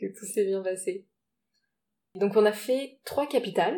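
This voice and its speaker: The speaker is a woman. Her pitch moves with ordinary variation. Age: 30s. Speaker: travel podcast co-host. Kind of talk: casual chat.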